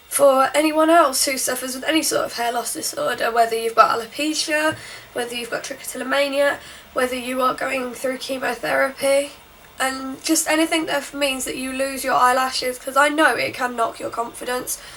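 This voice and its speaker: Noticeable background noise sits behind a high-pitched woman. She talks at a fairly quick pace with fairly even intonation. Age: young. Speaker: beauty vlogger. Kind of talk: makeup tutorial voiceover. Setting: home recording with borrowed mic.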